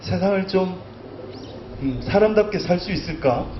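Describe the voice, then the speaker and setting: A man's shaky, high-pitched voice moves at a very slow pace with ordinary pitch variation, amid audible room echo and noticeable background noise. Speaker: poet. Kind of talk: literary talk. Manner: trembling voice.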